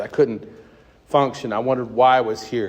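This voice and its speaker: A man with a Midwestern American accent, medium pitch and moderate pace. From US Midwest, Cincinnati, Ohio. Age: 60s. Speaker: recovering alcoholic speaker. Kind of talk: recovery testimony. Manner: casual, halting with fillers.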